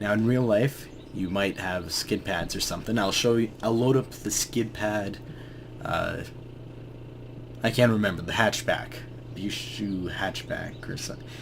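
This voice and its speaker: Over noticeable background noise, a man speaks at a fairly slow pace in a fairly low pitch. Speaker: gaming video creator. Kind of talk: casual gameplay tutorial commentary.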